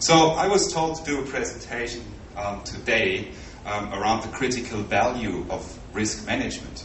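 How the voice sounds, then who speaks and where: Over noticeable background noise and audible room echo, a man with a German accent speaks at a moderate pace with lively intonation. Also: medium pitch for a man. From Germany. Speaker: project management consultant. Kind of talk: conference presentation. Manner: halting.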